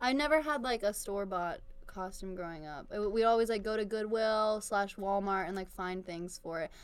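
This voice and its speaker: A woman with an American accent talks at a moderate pace and medium pitch. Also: ordinary pitch variation. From Virginia. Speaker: podcast co-host. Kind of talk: casual chat. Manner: animated.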